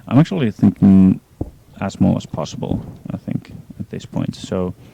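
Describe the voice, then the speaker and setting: Over noticeable background noise, a man with a fairly low voice talks at a moderate pace with lively intonation. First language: not English. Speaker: gaming streamer. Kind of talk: live gameplay stream commentary. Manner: hesitant, many fillers. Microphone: poor audio quality.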